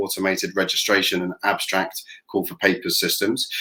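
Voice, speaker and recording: Speaking with a British accent, a man keeps a fairly quick pace. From England. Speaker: event tech company representative. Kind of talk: product presentation.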